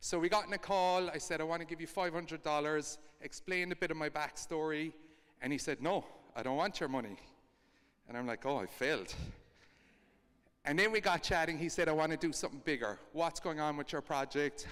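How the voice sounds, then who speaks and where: A man with an Irish accent talks at a fairly quick pace. His pitch is fairly high and varies in an ordinary way. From Ireland. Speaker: co-founder of a kindness project. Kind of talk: storytelling talk.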